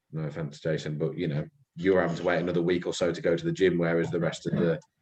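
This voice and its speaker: A man with a West Midlands accent speaks in a very deep, low pitch. His pace is very fast. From West Midlands, England (Telford/Shrewsbury). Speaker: podcast co-host. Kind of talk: casual chat.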